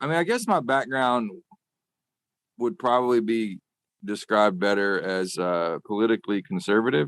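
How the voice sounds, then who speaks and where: A man with a Southern US accent, medium-pitched, at a moderate pace with lively intonation and long, frequent pauses, in a dry, close sound with no echo. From US South, rural Arkansas. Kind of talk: interview.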